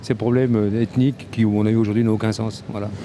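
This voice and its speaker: Noticeable background noise runs under this recording. A man talks very fast at a medium pitch. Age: 60s. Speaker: passer-by interviewed in the street. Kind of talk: street interview. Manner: halting, many repetitions.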